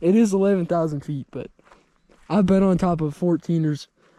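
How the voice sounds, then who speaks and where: A man's high-pitched voice with a dark, mellow tone, ordinary pitch variation and a moderate pace, dry and close with no echo, on a very clean recording with a silent background. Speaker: hiking vlogger. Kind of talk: casual vlog narration. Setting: outdoors on a trail.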